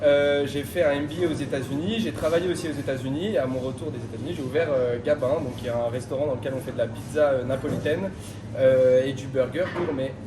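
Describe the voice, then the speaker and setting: Over noticeable background noise and audible room echo, a man with fairly high pitch talks at a fairly quick pace with ordinary pitch variation. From France, Paris suburbs. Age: 20s. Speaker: restaurant owner. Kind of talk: interview. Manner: hesitant, many fillers.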